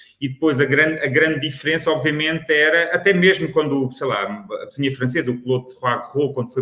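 With a plain, everyday voice, a man speaks fairly quickly, his pitch varying in an ordinary way. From Lisbon, Portugal. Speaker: food critic, podcast co-host. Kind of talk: casual chat.

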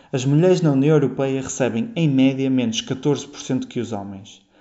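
Ordinary pitch variation and medium pitch from a man with an ordinary speaking voice. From Portugal, Porto. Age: 20s. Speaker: PhD student. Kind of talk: prepared statement.

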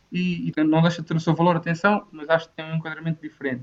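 Rattling along at a very fast pace, a man speaks in a fairly high pitch with monotone, flat intonation. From Portugal, Torres Novas. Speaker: volunteering program coordinator. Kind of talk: casual debate. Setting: video call from home.

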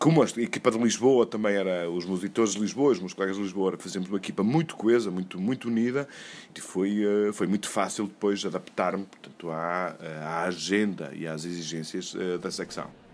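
Here a man uses an ordinary speaking voice, with a fairly low pitch and ordinary pitch variation. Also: fairly quick pace. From Portugal, Douro region. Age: 50s. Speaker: newspaper editor. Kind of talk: interview testimony.

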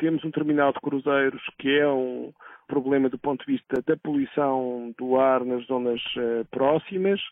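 The man's pitch is medium. He talks at a fairly slow pace. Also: fairly even intonation. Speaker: environmental association president and professor. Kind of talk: interview. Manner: halting.

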